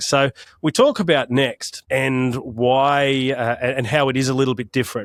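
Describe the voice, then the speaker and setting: In an Australian accent, a man talks at medium pitch, the sound dry and close with no echo. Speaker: podcast host. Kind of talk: podcast interview.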